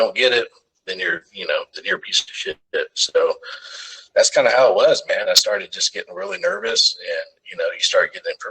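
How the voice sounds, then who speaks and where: A man with a Texan accent at an extremely high pitch. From Texas, Arlington. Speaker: firefighter paramedic. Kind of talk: casual interview storytelling. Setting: podcast.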